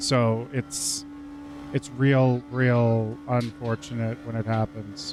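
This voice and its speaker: Music plays in the background. The speaker goes at a very slow pace, with very wide pitch swings. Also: man, medium pitch for a man. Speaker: video game streamer. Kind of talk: live gameplay commentary. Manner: animated.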